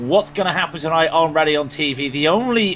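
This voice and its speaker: A man talks with an English accent at a fairly quick pace. His pitch is fairly high, with ordinary variation. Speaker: sim racing commentator. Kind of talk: live commentary.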